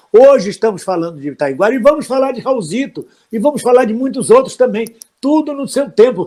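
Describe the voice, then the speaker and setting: A man's intonation is lively as he talks fairly quickly. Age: 70s. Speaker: actor and political commentator hosting live stream. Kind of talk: live stream discussion.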